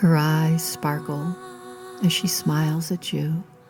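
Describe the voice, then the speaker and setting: With music in the background, a woman speaks very slowly in a soothing, calm tone, her pitch very deep and low, with ordinary pitch variation. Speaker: sleep story and meditation narrator. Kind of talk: sleep story narration. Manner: soothing, calm, slow.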